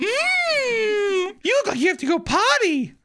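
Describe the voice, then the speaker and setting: At a fairly slow pace, the put-on character voice pitches itself extremely high. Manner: creepy.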